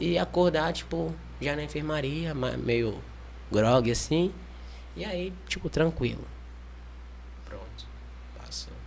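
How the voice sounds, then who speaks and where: In a room with audible echo, a man speaks very slowly, taking long, frequent pauses, his loudness swinging widely. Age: 20s. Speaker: liver transplant patient, mission volunteer. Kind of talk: testimony.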